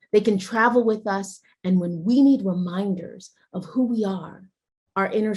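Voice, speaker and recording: A somewhat breathy woman's voice at medium pitch, fairly slow, with ordinary pitch variation. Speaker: guest TV host. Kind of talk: guided imagery ritual and show hosting. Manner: calm, warm.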